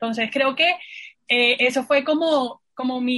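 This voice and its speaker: This is a plain, everyday voice. Its pitch varies in an ordinary way. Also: woman. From Colombian Caribbean coast (Santa Marta). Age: 20s. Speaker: university graduate and staff member. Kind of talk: casual chat.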